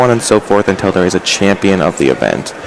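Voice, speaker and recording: Noticeable background noise is present. The talking is very fast. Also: man. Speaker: Pokemon tournament commentator. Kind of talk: sports-style tournament commentary.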